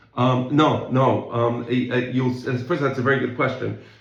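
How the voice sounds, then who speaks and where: Audible room echo surrounds a man as he speaks. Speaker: Talmud teacher. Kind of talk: lecture. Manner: fast.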